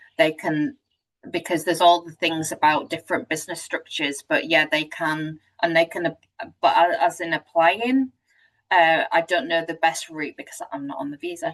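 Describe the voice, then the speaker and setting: In a British accent, a woman speaks at a fairly low pitch and a moderate pace. Her pitch variation is ordinary, while her loudness swings widely. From UK. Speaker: webinar host. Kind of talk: webinar discussion.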